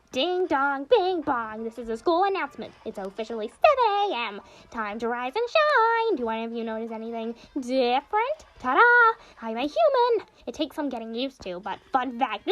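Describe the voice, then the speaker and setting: Cackling in a put-on character voice, a woman speaks at a high pitch and a moderate pace. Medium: read story. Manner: teasing, cackling.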